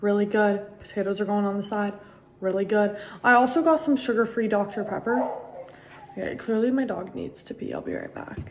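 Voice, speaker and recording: A woman's medium-pitched voice at a fairly quick pace, with ordinary pitch variation, against noticeable background noise. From US (born in Costa Rica, moved as a small child). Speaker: vlogger. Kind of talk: casual chat.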